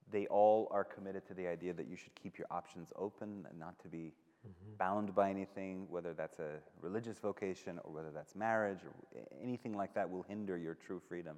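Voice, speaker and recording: At a fairly quick pace, a man with a very deep, low pitch keeps his intonation fairly even while his loudness swings widely. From Iran. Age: 30s. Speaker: journalist and author. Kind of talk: live talk conversation.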